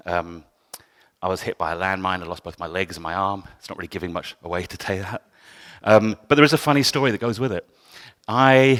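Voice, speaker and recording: A man with a southern English accent talks at a fairly quick pace with ordinary pitch variation, the sound dry and close with no echo on a very clean recording with a silent background. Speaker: photographer. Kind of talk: talk to an audience. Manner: loud.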